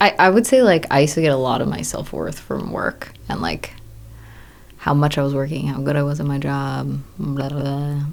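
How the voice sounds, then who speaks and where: Speaking at a moderate pace, a woman has an American accent. Audible room echo is present. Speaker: new mother and film boom operator. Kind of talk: casual interview chat. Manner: casual, filler-heavy.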